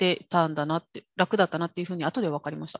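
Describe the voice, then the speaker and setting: The voice is somewhat breathy, with a dry, close sound with no echo and a quiet background. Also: woman. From Kyushu, Japan (rural). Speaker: interpreter and executive coach. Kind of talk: interview.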